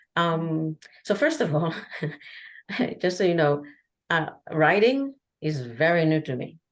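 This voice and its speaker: A woman with a non-native accent and a fairly low pitch, lively intonation, a fairly slow pace, and long, frequent pauses. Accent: foreign. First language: Hebrew. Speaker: traveler and artist. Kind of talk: podcast interview. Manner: halting.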